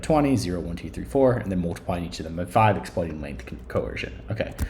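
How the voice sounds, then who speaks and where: Room echo is audible and background noise is noticeable. A man with a very deep, low pitch speaks with very wide pitch swings. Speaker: statistics instructor. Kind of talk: screencast tutorial. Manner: hesitant, many fillers.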